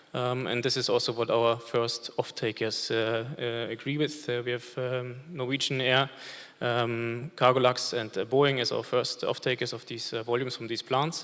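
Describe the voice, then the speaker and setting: Speaking with a German accent, a man delivers his words in a flat monotone at a moderate pace. His pitch sits in the medium range. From Germany. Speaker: industry representative, panelist. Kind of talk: panel discussion. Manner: many filler hesitations.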